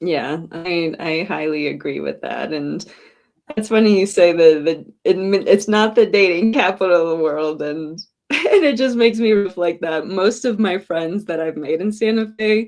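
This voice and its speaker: A woman with a normal speaking voice talks at a moderate pace, her pitch fairly low with ordinary variation. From US South, Northwest Florida. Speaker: videographer and media founder. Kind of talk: casual chat.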